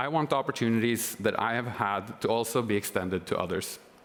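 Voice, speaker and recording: With a Norwegian accent, a man speaks at a moderate pace and medium pitch, with ordinary pitch variation over noticeable background noise. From Norway. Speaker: government consultant. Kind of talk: prepared speech.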